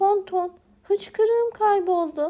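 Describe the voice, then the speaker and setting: A woman puts on a character voice at an extremely high pitch and talks at a fairly slow pace. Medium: read story. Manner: excited, eager.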